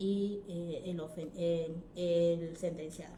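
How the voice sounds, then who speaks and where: A woman's voice carries audible room echo against noticeable background noise. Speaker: law teacher. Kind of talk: online lecture. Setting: live stream.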